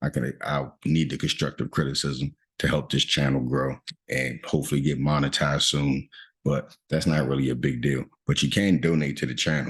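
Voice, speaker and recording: Quiet and at a very even loudness, a man speaks at a very deep, low pitch with monotone, flat intonation and vocal fry. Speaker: stock trading youtuber. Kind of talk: trade review tutorial. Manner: fast; speaking louder than usual.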